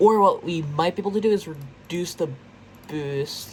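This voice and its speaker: A somewhat breathy woman at a moderate pace. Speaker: gaming YouTuber. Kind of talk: gameplay commentary. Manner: casual, thinking aloud with fillers; stuttering at times.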